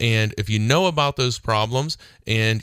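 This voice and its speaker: The background is silent and the recording very clean. The voice belongs to a man with an American accent. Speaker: radio host and attorney. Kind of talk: radio talk show monologue. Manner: casual, conversational with fillers.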